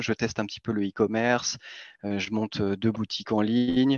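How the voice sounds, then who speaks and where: Against a quiet background, a man uses a normal speaking voice at a medium pitch with fairly even intonation. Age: 30s. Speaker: crypto newsletter co-founder. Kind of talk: interview.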